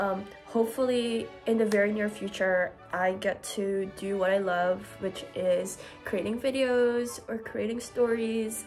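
A woman speaks at a fairly slow pace with fairly even intonation. Faint music plays in the background. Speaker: postgraduate student vlogger. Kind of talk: casual vlog chat. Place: home room.

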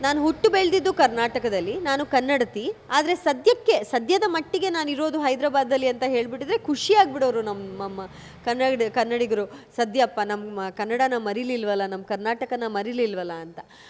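Amid noticeable background noise, a woman with a high pitch speaks with big swings in loudness. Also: lively intonation. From Kodagu (Coorg), Karnataka, India. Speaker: film actress. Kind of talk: interview.

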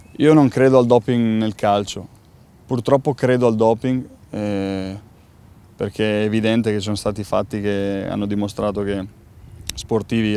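Over light background noise, a man with a fairly low pitch and a dark, mellow tone talks at a fairly slow pace with fairly even intonation, the sound dry with no echo. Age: 30s. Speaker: professional footballer. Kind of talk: interview. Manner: halting, with many repeated words. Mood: calm, thoughtful. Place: stadium.

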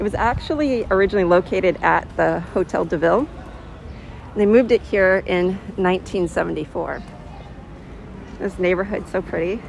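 The sound is dry with no echo, and light noise sits in the background. Delivery is at a moderate pace with ordinary pitch variation and long, frequent pauses. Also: woman. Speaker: tour guide vlogger. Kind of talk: casual walking tour commentary. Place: street. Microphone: phone near.

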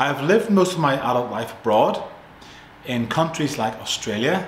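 A man with a Northern Irish accent speaks in a relaxed tone at a fairly high pitch, his pitch swinging very widely. Light background noise and audible room echo surround him. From Northern Ireland. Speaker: English teacher. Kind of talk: tutor introduction to camera. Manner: relaxed, friendly. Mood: relaxed, friendly. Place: home room. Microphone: phone near.

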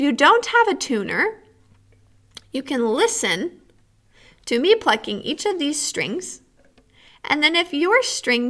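Over a quiet background, a woman speaks very slowly in a high pitch with a bright, sharp tone. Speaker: music teacher. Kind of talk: tutorial. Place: classroom. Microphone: webcam.

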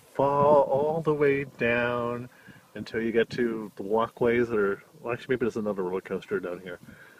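Ordinary pitch variation and a moderate pace mark this man's speech. The sound is dry with no echo, over light background noise. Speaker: travel vlogger. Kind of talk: casual vlog chat. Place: cafe. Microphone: phone near.

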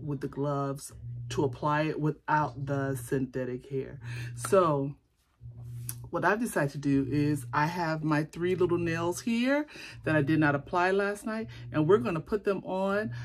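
At a fairly slow pace, a woman speaks with very deep, low pitch and lively intonation over light background noise. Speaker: beauty vlogger. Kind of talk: casual vlog chat. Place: home room. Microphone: phone near.

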